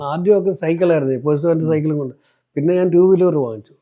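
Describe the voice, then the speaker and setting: This man's voice has a dark, mellow tone. His intonation is fairly even. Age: 80s+. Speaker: retired postman and church lay preacher. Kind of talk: interview answer.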